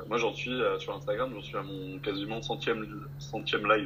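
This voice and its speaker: A man speaks with very wide pitch swings. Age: 20s. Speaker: life coach. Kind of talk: casual interview.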